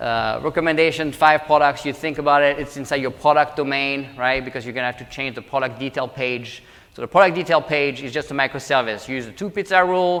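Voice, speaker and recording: With a French accent, a man talks at a very fast pace and a fairly high pitch. His loudness swings widely over noticeable background noise. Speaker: government technology executive. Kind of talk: conference talk.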